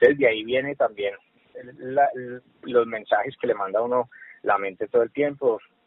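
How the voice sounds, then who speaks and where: Long, frequent pauses break up this man's speech. Between them, his pace is moderate. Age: 30s. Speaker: social worker, HR manager. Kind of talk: casual interview.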